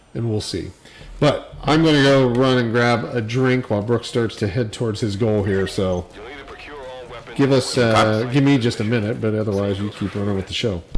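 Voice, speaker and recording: This man's medium-pitched voice moves at a moderate pace with ordinary pitch variation, and noticeable background noise can be heard. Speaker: gaming livestream co-host. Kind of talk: casual chat. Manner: loud.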